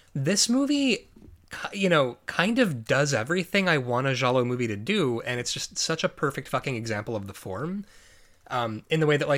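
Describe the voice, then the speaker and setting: A man with an American accent speaks with very wide pitch swings. The recording is very clean, with a silent background. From US Midwest, Chicago suburbs. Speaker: podcast host. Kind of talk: casual chat.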